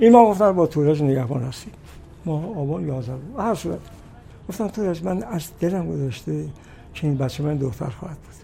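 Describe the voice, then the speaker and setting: Amid noticeable background noise and audible room echo, a man speaks at a very fast pace with fairly high pitch, lively intonation and big swings in loudness. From Iran, Kashan. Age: 90s. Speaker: singer and composer. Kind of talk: interview.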